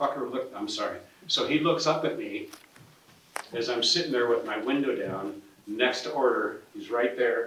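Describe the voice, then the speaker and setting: Here a man talks at a moderate pace with an American accent. Noticeable background noise and audible room echo fill the recording. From Spokane, Washington, US Pacific Northwest. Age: 60s. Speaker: property owner at a press conference. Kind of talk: press conference speech. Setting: press conference. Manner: animated, informal.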